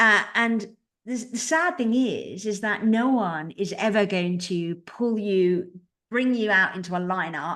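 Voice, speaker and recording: Ordinary pitch variation marks a woman's speech in a British accent. She talks at a fairly slow pace. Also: medium pitch for a woman. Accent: very British. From Britain. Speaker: publicist. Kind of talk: podcast interview.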